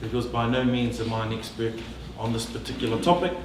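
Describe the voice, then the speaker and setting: Noticeable background noise and audible room echo around a man's medium-pitched voice. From New Zealand, Northland (Māori). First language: Māori. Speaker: politician. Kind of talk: public talk. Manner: hesitant, many fillers.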